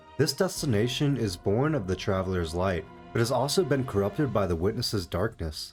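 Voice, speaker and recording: With music playing behind him, a man talks at a fairly quick pace in a fairly low pitch, his intonation lively. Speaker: gaming YouTuber. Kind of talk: gaming commentary narration.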